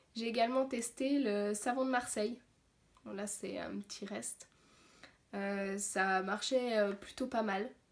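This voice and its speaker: A woman talks at a very slow pace, leaving long, frequent pauses. Her pitch is fairly high and her intonation fairly even. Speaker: zero-waste vlogger. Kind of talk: tutorial. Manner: hesitant, many fillers.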